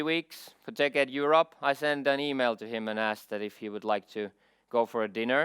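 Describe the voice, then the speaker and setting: In a Finnish accent, a man speaks at a moderate pace with ordinary pitch variation, in a very clean recording with a silent background and a dry, close sound with no echo. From Finland. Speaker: IT security expert. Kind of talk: conference keynote.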